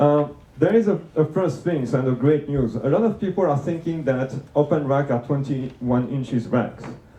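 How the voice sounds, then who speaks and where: A man with a French accent talks in a fairly high pitch with ordinary pitch variation. His moderate pace carries over noticeable background noise. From France. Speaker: conference speaker. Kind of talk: conference talk. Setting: room with live audience. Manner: hesitant, many fillers.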